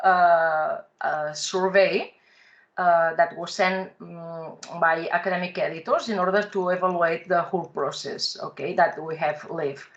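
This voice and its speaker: A woman's medium-pitched voice at a fairly slow pace over a quiet background. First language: Catalan or Spanish. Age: young. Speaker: professor. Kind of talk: academic presentation. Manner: halting, many fillers. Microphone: video call.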